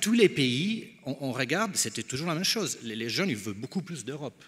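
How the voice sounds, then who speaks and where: This man speaks in an Italian accent. His pitch swings very widely. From Italy. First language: Italian (speaking French). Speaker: think tank founder. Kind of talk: panel discussion. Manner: halting.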